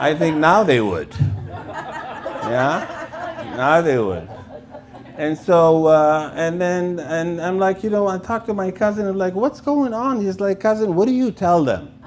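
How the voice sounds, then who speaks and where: High-pitched male voice with lively intonation, amid noticeable background noise and audible room echo. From Lebanon. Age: 60s. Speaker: comedian. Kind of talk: stand-up. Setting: stage with audience. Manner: halting.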